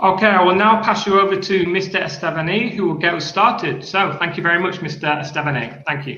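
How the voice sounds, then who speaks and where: In a northern English accent, a man talks at a fairly quick pace with ordinary pitch variation. Noticeable background noise runs behind him. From northern England, Sheffield. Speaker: school coordinator and teacher. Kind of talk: online panel discussion.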